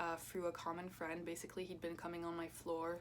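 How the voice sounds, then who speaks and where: A woman speaks with a French accent. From France and US (Kansas). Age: 20s. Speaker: YouTuber and student. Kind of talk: casual chat. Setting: at home, doing makeup. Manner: hesitant, filler-heavy.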